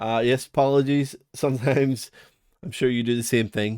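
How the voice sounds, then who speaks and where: With a Northern Irish accent and fairly even intonation, a man speaks in a very clean recording with a silent background. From Northern Ireland. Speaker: music production reviewer. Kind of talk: product review walkthrough. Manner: casual, chatty with fillers.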